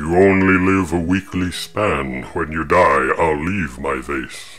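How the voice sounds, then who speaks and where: Against clear background noise, a man puts on a character voice at a very deep, low pitch and a fairly slow pace. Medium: read story. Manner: grand, theatrical.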